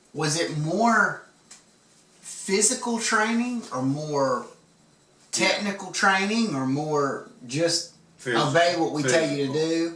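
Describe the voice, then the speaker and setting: Against noticeable background noise, a man speaks at a fairly slow pace in a high pitch with lively intonation. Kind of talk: casual interview questions.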